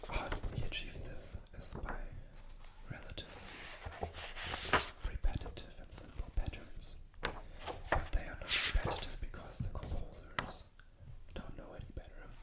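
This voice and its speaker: Whispering at a moderate pace, a man leaves long, frequent pauses, with big swings in loudness and noticeable background noise. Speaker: classical pianist and composer making ASMR videos. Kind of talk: casual talk to camera about classical music. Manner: relaxed, conversational rambling with pauses.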